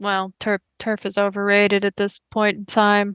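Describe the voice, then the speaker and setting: A put-on character voice at a moderate pace, monotone and flat in intonation, against a quiet background. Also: woman, medium pitch for a woman. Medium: actual play. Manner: relaxed, hospitable.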